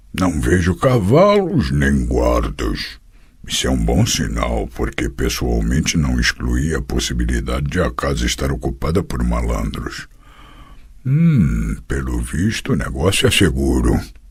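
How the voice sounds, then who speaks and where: Putting on a character voice, a man talks rather slowly in a very deep, low pitch. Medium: read story. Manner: blunt, gruff.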